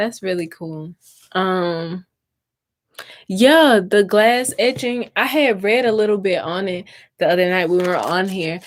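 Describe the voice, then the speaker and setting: The speaker is a woman with a medium pitch. Her accent is slightly Southern US. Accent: slight Southern accent, stronger when tired. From US South, Mississippi. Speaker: crafting YouTuber. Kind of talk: live stream chat while crafting. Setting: YouTube live stream. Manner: slow, drawn-out vowels.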